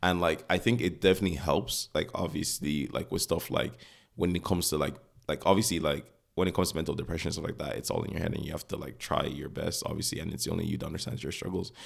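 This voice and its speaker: A man with a non-native accent, very deep and low in pitch with vocal fry and ordinary pitch variation, at a very fast pace on a very clean recording with a silent background. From Nigeria. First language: not English. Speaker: podcast co-host. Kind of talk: casual chat. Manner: halting, many fillers.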